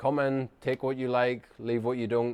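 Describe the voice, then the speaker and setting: A man with a strong Northern Irish accent speaks at a medium pitch. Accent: Northern Irish, thick. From Northern Ireland. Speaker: chiropractor. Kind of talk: casual talk to camera. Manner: fast; little lip movement.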